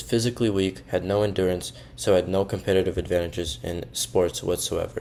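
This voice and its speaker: A man's very deep, low voice with vocal fry, at a moderate pace with ordinary pitch variation. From Russia, Moscow. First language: Russian. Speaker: university student. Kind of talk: personal storytelling monologue.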